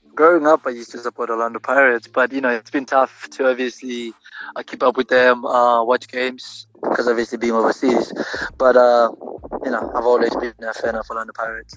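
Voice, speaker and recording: Noticeable background noise sits behind a man speaking at a medium pitch and fairly quick pace in monotone, flat intonation, with a dry, close sound and no echo. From South Africa. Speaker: professional footballer. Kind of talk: interview. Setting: phone call.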